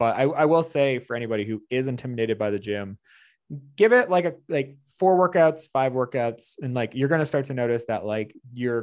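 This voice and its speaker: An unremarkable speaking voice from a man, fairly quick in pace with ordinary pitch variation, against a quiet background. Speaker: fitness trainer. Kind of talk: casual interview.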